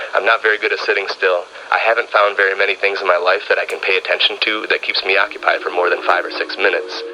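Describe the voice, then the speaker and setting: With an American accent, a man speaks at a fairly quick pace against noticeable background noise. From US Midwest, Wisconsin. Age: 30s. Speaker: music producer. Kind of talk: documentary interview.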